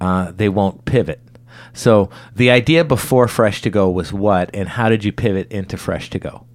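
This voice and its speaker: In a normal speaking voice, this man keeps a moderate pace and shows ordinary pitch variation. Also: fairly low pitch for a man. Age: 40s. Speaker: podcast host. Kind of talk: interview.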